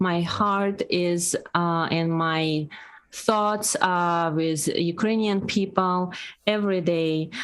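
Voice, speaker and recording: Slowly, very slowly, a woman speaks in a Russian accent at a fairly low pitch. Her intonation stays fairly even. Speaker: podcast co-host. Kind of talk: casual chat.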